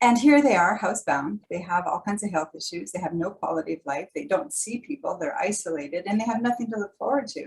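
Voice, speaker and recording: Somewhat breathy and with a Canadian accent, a woman speaks at a very fast pace with hardly any pauses. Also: medium pitch for a woman, lively intonation. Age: 60s. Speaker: holistic nutrition presenter. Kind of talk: workshop presentation. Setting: video call.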